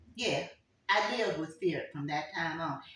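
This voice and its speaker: A woman speaks at a moderate pace with very wide pitch swings. Audible room echo surrounds her voice. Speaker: grandmother sharing life stories. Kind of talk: family oral history interview.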